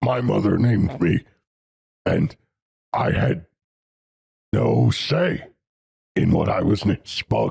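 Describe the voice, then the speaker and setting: A man in a put-on character voice at a fairly slow pace, with long, frequent pauses. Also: fairly low pitch for a man. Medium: actual play. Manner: terse, deadpan.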